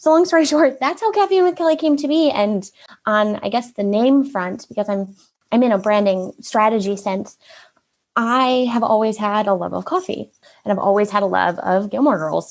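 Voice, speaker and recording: Lively intonation marks this woman's voice. Her pitch is fairly high and her pace moderate. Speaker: marketing consultant, business owner. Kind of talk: interview, personal story. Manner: animated, upbeat.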